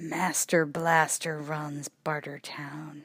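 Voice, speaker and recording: In a put-on character voice, a woman speaks very slowly with a raspy, very deep, low pitch and monotone, flat intonation. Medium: read story.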